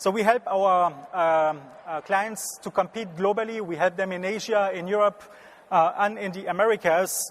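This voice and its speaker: At a moderate pace, a man with a French accent talks in a high pitch with fairly even intonation. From France, Strasbourg region. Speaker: business consultant. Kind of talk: conference talk. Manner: halting.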